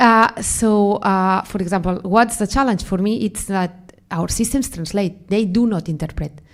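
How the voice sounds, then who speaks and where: A woman with a Spanish accent speaks at a fairly high pitch. The recording is very clean, with a silent background. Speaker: AI researcher. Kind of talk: panel interview. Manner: halting, many fillers.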